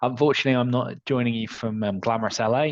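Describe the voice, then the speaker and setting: A man with a Manchester accent talks at a fairly quick pace in a medium pitch, his voice dry and close with no echo over a quiet background. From northern England, Manchester. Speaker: software solutions architect. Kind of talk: webinar discussion.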